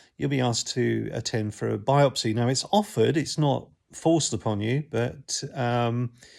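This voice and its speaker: A man with a southern English accent talks at a moderate pace and medium pitch, with ordinary pitch variation and hardly any pauses. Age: 60s. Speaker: YouTuber sharing health experience. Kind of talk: casual talk to camera. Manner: halting, many fillers.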